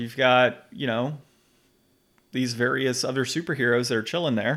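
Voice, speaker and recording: On a very clean recording with a silent background, a man with an unremarkable speaking voice and medium pitch talks at a moderate pace with ordinary pitch variation. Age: 30s. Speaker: video game podcast host. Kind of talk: casual chat.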